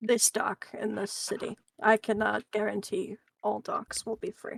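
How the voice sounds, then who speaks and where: A woman puts on a character voice, raspy and fairly high in pitch. She talks at a moderate pace, and the sound is dry and close with no echo. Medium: actual play.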